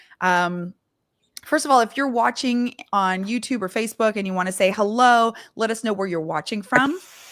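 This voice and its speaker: In an ordinary speaking voice, a woman with a Canadian accent speaks at a moderate pace and fairly high pitch with lively intonation. The recording is very clean, with a silent background. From Canada. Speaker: vocal coach and live show host. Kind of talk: live stream interview chat. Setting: live stream.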